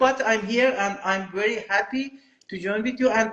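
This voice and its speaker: This man has a Persian accent. His pitch varies in an ordinary way. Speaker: film director. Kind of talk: interview. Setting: video call. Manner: halting, non-fluent English.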